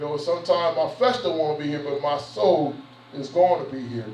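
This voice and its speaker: A man speaks with a fairly high pitch. Audible room echo and noticeable background noise surround him. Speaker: pastor. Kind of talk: sermon. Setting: church. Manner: fast; conversational.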